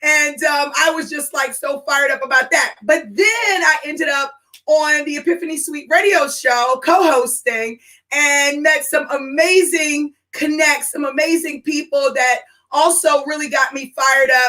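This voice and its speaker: A woman's raised, projected voice, high in pitch, with an animated, bright, sharp tone at a moderate pace. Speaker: business and career strategist, podcast host. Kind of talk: live stream talk. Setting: live stream broadcast. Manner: loud.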